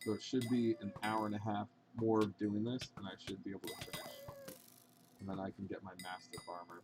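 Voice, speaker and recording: Against noticeable background noise, a man speaks at a fairly quick pace with a fairly low pitch and fairly even intonation. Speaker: video game streamer. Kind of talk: casual live stream chat.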